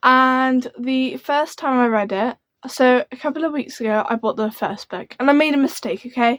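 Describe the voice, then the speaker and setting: A woman speaks in a high pitch at a moderate pace with ordinary pitch variation. The sound is dry and close, with no echo. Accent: British. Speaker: book youtuber. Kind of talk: casual chat. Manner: animated.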